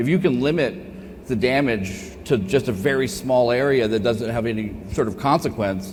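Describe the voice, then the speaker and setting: Speaking with an American accent, a man uses an animated tone and lively intonation at a moderate pace. His pitch is medium, and there is audible room echo. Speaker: cybersecurity keynote speaker. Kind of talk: conference Q&A. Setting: stage with audience. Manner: loud.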